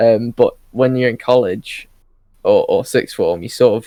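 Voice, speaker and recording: In a British accent, this voice moves at a moderate pace, with a dry, close sound and no echo. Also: man. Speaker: podcast host. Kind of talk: casual chat.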